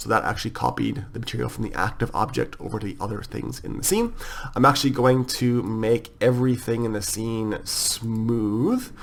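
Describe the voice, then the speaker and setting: There is noticeable background noise. A man speaks at a medium pitch. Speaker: software tutorial creator. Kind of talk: tutorial. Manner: fast; casual with filler words.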